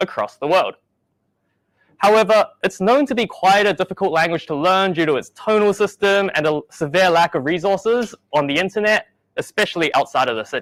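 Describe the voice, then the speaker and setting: A man with a New Zealand accent talks at a high pitch and a moderate pace with lively intonation. The recording is very clean and dry, with a close sound, no echo and a silent background. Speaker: software engineer. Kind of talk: conference talk.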